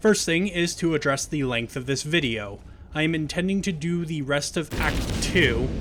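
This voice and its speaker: A man's fairly high voice keeps a moderate pace and ordinary pitch variation, with noticeable background noise behind it. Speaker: gaming let's play host. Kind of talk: casual gameplay commentary.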